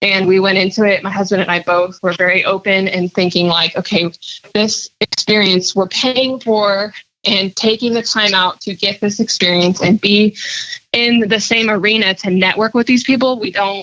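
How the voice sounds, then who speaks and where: This woman has a normal speaking voice. Her intonation stays fairly even. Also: medium pitch for a woman, moderate pace. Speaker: pinstriper and artist. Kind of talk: podcast interview, casual chat.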